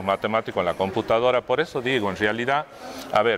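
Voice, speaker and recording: Fairly low male pitch amid noticeable background noise. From Argentina, Tucumán province (Monteros). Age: 60s. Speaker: pianist and conductor. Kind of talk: interview. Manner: hesitant, many fillers and repetitions.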